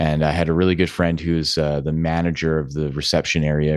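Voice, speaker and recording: A man speaks at a very deep, low pitch, the sound dry and close with no echo and the background quiet. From Alberta, Canada (Edmonton). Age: 30s. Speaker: yoga and meditation teacher. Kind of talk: interview.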